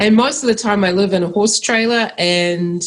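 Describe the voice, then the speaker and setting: A woman talks with a New Zealand accent and ordinary pitch variation. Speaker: agroecologist. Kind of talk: interview.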